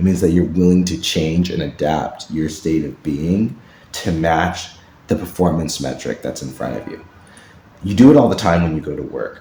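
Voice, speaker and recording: The delivery is animated, with ordinary pitch variation and big swings in loudness. Noticeable background noise runs underneath. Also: man, very deep, low pitch for a man. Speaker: podcast host and fiction writer. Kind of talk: solo podcast monologue. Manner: fast.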